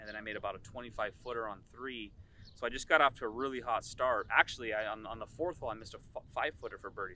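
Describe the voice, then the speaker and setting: A man is heard with a dry sound and no echo. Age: 30s. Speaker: amateur golfer, tournament champion. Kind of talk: post-round interview. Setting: outdoors at golf course. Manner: hesitant, many fillers. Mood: pleased, relaxed. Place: open country.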